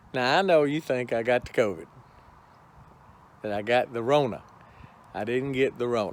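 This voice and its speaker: A man speaks with a Texan accent at a medium pitch. His speech has long, frequent pauses. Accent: Texan Southern US. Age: 60s. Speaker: homesteading YouTuber. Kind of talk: casual vlog talk to camera. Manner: folksy, hesitant with fillers.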